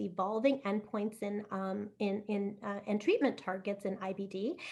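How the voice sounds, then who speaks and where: The voice belongs to a woman. It sits at a fairly high pitch. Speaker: IBD physician and clinical researcher. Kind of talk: lecture. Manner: fast.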